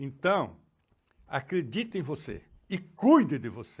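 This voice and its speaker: A man's high-pitched voice comes through on a very clean recording where the background is silent. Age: 80s+. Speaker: educator and psychoanalyst. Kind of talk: interview conversation.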